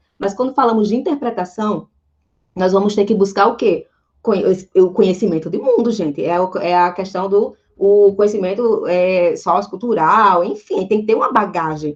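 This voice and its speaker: A woman talks in a plain, everyday voice with ordinary pitch variation. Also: medium pitch for a woman, moderate pace. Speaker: Portuguese language teacher. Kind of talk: online lecture.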